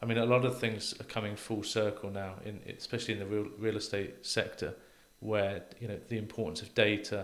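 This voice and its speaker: A man with a British accent talks at a fairly quick pace in a fairly low, flat, monotone voice. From UK. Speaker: real estate professor. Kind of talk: interview conversation. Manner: halting, repeats words. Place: studio. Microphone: studio mic.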